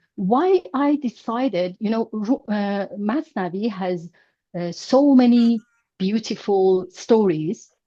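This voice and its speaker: In a Persian accent, a woman speaks at a very slow pace. Her tone is dark and mellow. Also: fairly high pitch for a woman, lively intonation, dry, close sound with no echo. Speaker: language teacher. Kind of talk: online class lecture. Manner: halting, many fillers.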